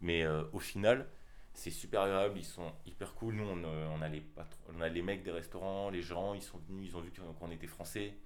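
In a room with audible echo, a man talks at a moderate pace with a very deep, low pitch and ordinary pitch variation. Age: 20s. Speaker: graphic design student, podcast co-host. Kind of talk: casual chat.

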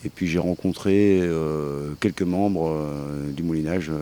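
Ordinary pitch variation in a dark, mellow tone. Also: man. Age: 40s. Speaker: collective member. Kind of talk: interview testimony. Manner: halting, many hesitations.

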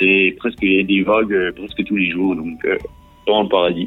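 A man talks while music plays in the background. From eastern France. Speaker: travel blogger. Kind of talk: radio interview. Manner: hesitant, many fillers.

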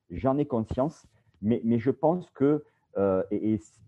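A man with a southern French accent, fairly slow in pace, medium in pitch, with ordinary pitch variation. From Bouches-du-Rhône, southeastern France. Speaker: video production company founder, former sports journalist. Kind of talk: interview. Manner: hesitant, many repetitions.

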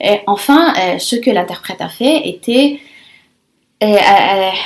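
With a fairly high pitch, a woman talks in a lively, varied intonation. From Lebanon. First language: Arabic and Italian (speaking French). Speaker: conference interpreter. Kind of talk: interview. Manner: halting, many repetitions.

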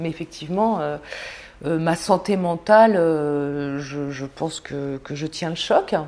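A woman's very deep, low voice moves at a very slow pace with ordinary pitch variation and big swings in loudness over noticeable background noise. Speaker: war reporter. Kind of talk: interview.

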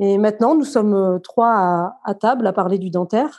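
A woman speaks in a dark, mellow tone at medium pitch with ordinary pitch variation. Her pace is fairly slow, and the background is quiet. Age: 40s. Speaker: dental assistant. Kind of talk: casual interview testimony.

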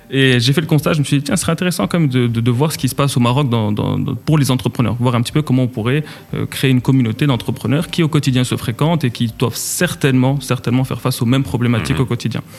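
Music plays behind a man who talks very fast at medium pitch, with ordinary pitch variation and very even loudness. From Morocco, Casablanca. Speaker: entrepreneur. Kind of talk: interview. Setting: studio.

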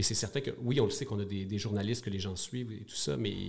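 Speaking very fast with a Quebec accent, a man has a fairly low, somewhat breathy voice with ordinary pitch variation. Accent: Québécois French. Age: 40s. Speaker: media company co-founder. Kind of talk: interview. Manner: hesitant, frequent repetitions.

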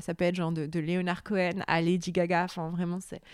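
Recorded very cleanly against a silent background with a dry, close sound and no echo, a woman talks at a moderate pace in a normal speaking voice at medium pitch. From Lebanon, Beirut. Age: 30s. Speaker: novelist. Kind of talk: interview. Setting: at home.

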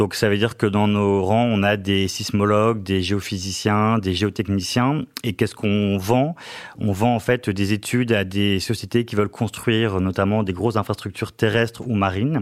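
Here a man speaks at a fairly low pitch. His pace is moderate and his intonation fairly even. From northern France, Lille. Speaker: finance director. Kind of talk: interview. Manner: hesitant, frequent fillers and repetitions.

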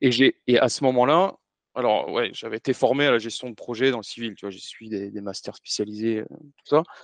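With an unremarkable speaking voice, a man at a medium pitch and with ordinary pitch variation shows big swings in loudness, in a dry, close sound with no echo over a quiet background. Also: moderate pace. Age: 40s. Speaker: former army officer turned business consultant. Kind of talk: podcast interview.

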